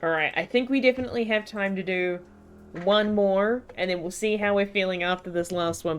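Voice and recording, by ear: Pitch rises and falls in an ordinary way as someone reads aloud in a natural voice.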